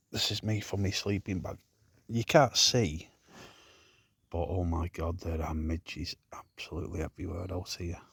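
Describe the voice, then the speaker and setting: Very deep and low in pitch and somewhat breathy, a man's voice sounds dry and close with no echo, in a very clean recording with a silent background. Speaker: wild camping vlogger. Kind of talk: casual vlog chat. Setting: outdoors, lying in bivvy.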